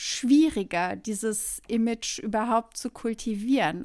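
Captured in a very clean recording with a silent background, a woman speaks at a fairly high pitch with ordinary pitch variation. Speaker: podcast co-host. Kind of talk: casual chat.

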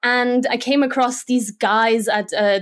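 In a very clean recording with a silent background, a woman speaks at a fairly slow pace with a fairly high pitch. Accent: Slovak. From Germany. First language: Slovak. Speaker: motion graphics designer. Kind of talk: interview.

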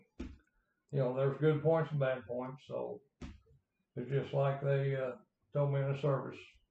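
A man with an American accent speaks at a moderate pace with long, frequent pauses and a fairly high pitch. His voice is somewhat breathy with a dark, mellow tone and monotone, flat intonation. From Grayville, Illinois. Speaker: veterans' organization commander, Marine veteran. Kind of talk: interview. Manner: halting.

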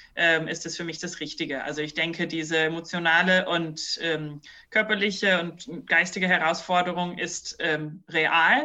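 The pace is moderate, with hardly any pauses. It is a plain, everyday voice. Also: woman. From New Zealand. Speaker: business consultant and capoeira teacher. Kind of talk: podcast interview.

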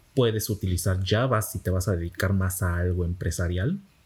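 The voice is somewhat breathy, moving at a moderate pace with ordinary pitch variation. The recording is very clean, with a silent background. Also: man. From Mexico, Campeche. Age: 20s. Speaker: software developer and teacher. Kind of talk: casual interview. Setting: café.

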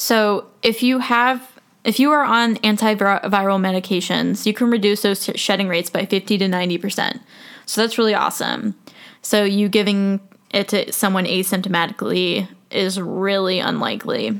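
The speech keeps a moderate pace with fairly even intonation and very even loudness. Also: woman, medium pitch for a woman. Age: 20s. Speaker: podcast host. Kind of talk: casual monologue.

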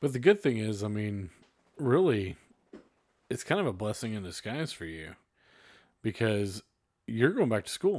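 The speaker has a Texan accent and a moderate pace. Long, frequent pauses break up the speech. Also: man, fairly low pitch for a man, lively intonation, big swings in loudness. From North Texas (Fort Worth area). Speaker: podcast host. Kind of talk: casual chat.

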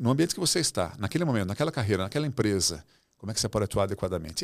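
On a very clean recording with a silent background, a man with a fairly low voice talks at a very fast pace, his pitch swinging very widely. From Brazil. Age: 60s. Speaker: author and former executive. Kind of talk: casual interview conversation. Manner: animated.

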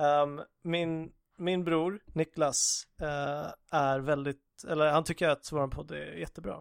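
A man speaks very slowly at a fairly high pitch. His intonation stays fairly even. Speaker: podcast host. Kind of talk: casual chat. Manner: relaxed, slow.

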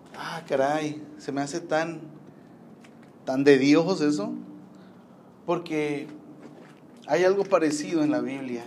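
Very slow speech full of long, frequent pauses comes with fairly even intonation, audible room echo and noticeable background noise. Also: man, fairly high pitch for a man. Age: 30s. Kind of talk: casual devotional talk. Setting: rooftop. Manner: halting.

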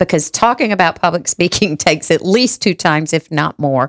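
This woman has a plain, everyday voice of medium pitch, with lively intonation and a dry, close sound with no echo. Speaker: podcast host. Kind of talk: casual chat.

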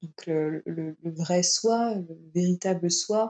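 With a dark, mellow tone, the woman talks at a medium pitch. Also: dry, close sound with no echo. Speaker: yoga teacher. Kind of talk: interview. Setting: remote recording during lockdown. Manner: hesitant, many repetitions. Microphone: sound quality not always good.

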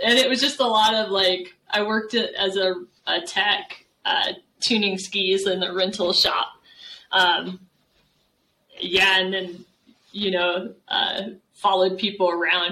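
An unremarkable speaking voice from a woman with an American accent, medium in pitch, fairly slow and fairly even in intonation. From Texas, San Antonio. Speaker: professor. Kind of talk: interview.

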